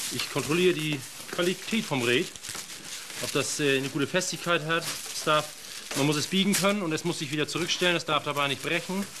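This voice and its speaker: Against noticeable background noise, the talk moves at a fairly quick pace with ordinary pitch variation and long, frequent pauses. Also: man, fairly high pitch for a man. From northern Germany, Schleswig-Holstein. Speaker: reed farmer and lock keeper. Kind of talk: casual interview.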